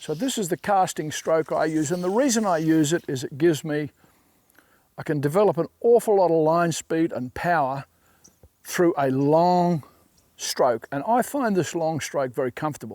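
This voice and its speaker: A plain, everyday voice from a fairly high-pitched man, at a moderate pace with ordinary pitch variation, on a very clean recording with a silent background. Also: dry, close sound with no echo. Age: 60s. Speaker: fly fishing casting instructor. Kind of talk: tutorial.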